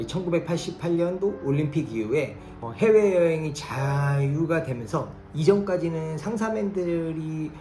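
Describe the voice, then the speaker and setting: Over music in the background and audible room echo, a woman talks with very deep, low pitch and lively intonation. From South Korea. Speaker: trade lecturer and customs broker. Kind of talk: educational talk. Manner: casual, with fillers.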